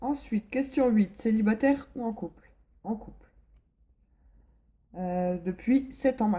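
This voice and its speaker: Very slow and marked by long, frequent pauses, a woman's somewhat breathy, dark, mellow voice sits at a fairly high pitch with ordinary pitch variation and big swings in loudness. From northern France, Pas-de-Calais. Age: 20s. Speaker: vlogger. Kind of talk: casual vlog Q&A. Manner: hesitant, many fillers.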